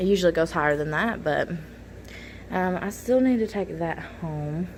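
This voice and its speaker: Pitch varies in an ordinary way. Delivery is at a moderate pace. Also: woman. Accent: American. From Kentucky, US South. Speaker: middle school math teacher, vlogger. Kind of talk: casual vlog. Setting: in a car.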